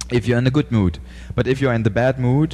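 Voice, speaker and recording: In a German accent, a man talks at medium pitch with ordinary pitch variation. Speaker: podcast host. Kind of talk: interview. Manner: halting.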